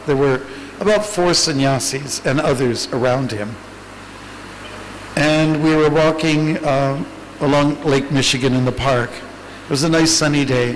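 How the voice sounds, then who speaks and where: Speaking fairly slowly, a man uses a fairly high pitch and fairly even intonation. Noticeable background noise and audible room echo accompany him. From Canada. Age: 60s. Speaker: monk. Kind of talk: Q&A talk.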